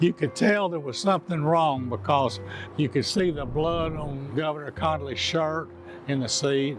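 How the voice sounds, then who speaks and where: A man with a Texan accent speaks in a fairly high pitch at a moderate pace. His intonation is lively, with music in the background. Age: 70s. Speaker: eyewitness. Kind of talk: testimony.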